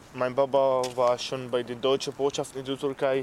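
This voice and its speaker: The speaker talks at a fairly slow pace with an Arabic accent. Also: man. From Syria, Aleppo. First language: Arabic (speaking German). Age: 20s. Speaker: refugee and apprentice. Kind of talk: interview. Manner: halting.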